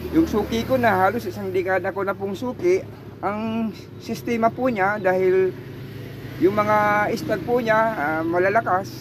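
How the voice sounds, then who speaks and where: A man's high voice at a fairly slow pace, with ordinary pitch variation and noticeable background noise. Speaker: vlogger, maker of gamecock leg cords. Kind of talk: tutorial. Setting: outdoors near a highway. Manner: loud.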